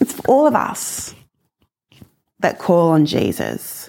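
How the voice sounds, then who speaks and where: Very wide pitch swings mark a woman speaking in an Australian accent, captured in a very clean recording with a silent background. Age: 40s. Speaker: guest preacher. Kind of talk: sermon. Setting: recorded video message.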